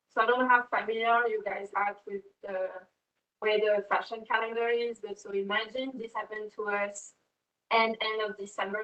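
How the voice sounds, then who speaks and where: A woman with a French accent speaks at a fairly high pitch in a monotone, flat way. Her loudness swings widely. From France. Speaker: fashion brand co-founder and creative director. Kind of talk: class talk to students. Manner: halting, with many fillers.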